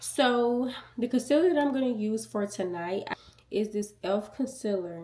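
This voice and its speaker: A soft-spoken woman talks at a fairly slow pace with ordinary pitch variation. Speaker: beauty youtuber. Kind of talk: tutorial. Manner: casual.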